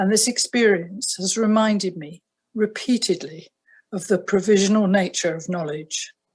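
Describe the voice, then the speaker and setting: Somewhat breathy, a woman with a southern British accent speaks at a moderate pace in a medium pitch with fairly even intonation. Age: 70s. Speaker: retired family doctor. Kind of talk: prepared statement. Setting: video call. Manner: formal.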